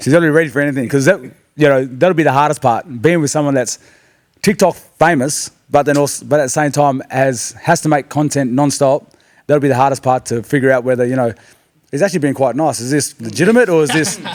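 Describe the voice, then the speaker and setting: Talking at a very fast pace, a man with a fairly high pitch and an Australian accent uses ordinary pitch variation. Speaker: podcast co-host. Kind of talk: casual chat.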